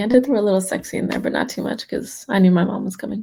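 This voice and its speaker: A woman's somewhat breathy, fairly high voice with a dark, mellow tone and ordinary pitch variation. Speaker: poet. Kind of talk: poetry reading.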